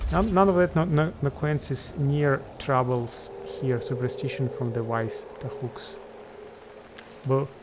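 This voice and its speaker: Against noticeable background noise, a man with a non-native accent speaks at a medium pitch. His pace is fairly slow, and his pitch varies in an ordinary way. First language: not English. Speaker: video game streamer. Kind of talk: gameplay commentary. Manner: halting.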